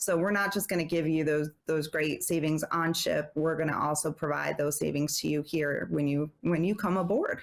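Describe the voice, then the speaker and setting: A woman with a slight New Jersey accent speaks in a very deep, low voice with hardly any pauses. Her intonation is fairly even and her loudness very even. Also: moderate pace. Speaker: travel advisor. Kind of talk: casual interview chat.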